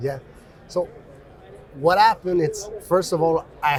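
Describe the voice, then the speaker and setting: Amid noticeable background noise, a man with a French accent talks at a moderate pace. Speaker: mining company executive. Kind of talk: interview. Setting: conference.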